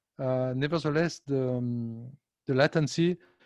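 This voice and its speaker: A man's medium-pitched voice comes through with little going on behind it. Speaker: tech company presenter. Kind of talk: conference presentation. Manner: fast.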